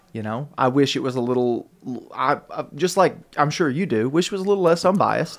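A man talks fairly quickly in a Southern US accent. His fairly high voice has lively intonation. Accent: US South (Tennessee). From Tennessee, Murfreesboro. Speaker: radio producer. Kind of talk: casual chat. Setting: studio.

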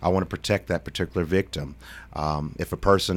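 In a Tennessee accent, a man with a very deep, low voice speaks at a fairly quick pace with ordinary pitch variation, on a very clean recording with a silent background. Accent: Southern US (Tennessee). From Middle Tennessee (Shelbyville, Bedford County). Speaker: political candidate, lawyer. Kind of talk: radio interview. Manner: halting, many fillers.

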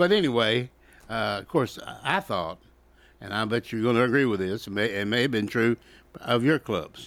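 A man at medium pitch with a Southern US accent talks at a moderate pace with long, frequent pauses, in a very clean recording over a silent background. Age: 70s. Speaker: sports radio co-host. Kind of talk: casual sports talk radio chat. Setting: radio studio.

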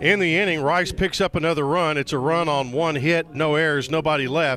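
A man speaks at a moderate pace with a fairly high pitch. It is an ordinary speaking voice. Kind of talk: live baseball color commentary mixed with play-by-play.

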